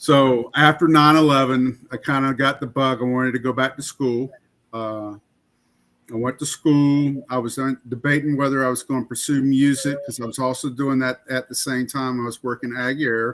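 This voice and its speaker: A man with a Southern US accent, medium pitch and monotone, flat intonation. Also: moderate pace. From US South, rural Florida. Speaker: podcast co-host, army veteran. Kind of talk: casual chat.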